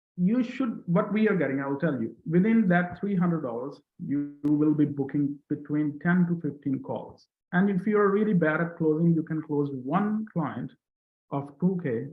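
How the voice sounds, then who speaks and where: Lively intonation marks this man's fairly high voice, delivered at a moderate pace. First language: not English; English is his third language. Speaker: coaching student, ads consultant. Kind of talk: testimonial interview.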